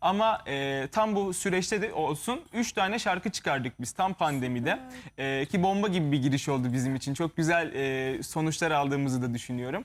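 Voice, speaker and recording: Talking at a moderate pace, a man barely pauses at all. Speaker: musician. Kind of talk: interview.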